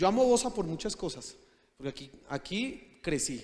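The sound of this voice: Ordinary pitch variation from a man speaking at a fairly slow pace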